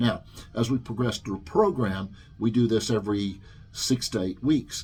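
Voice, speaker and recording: Somewhat breathy, a man speaks at a medium pitch with ordinary pitch variation. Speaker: personal trainer, studio owner. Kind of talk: informal explainer video. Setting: training studio. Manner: fast; hesitant, many fillers.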